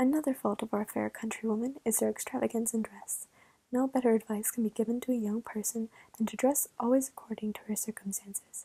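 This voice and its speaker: A woman's whisper at a very fast pace, dry and close with no echo. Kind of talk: ASMR story reading. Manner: whispered.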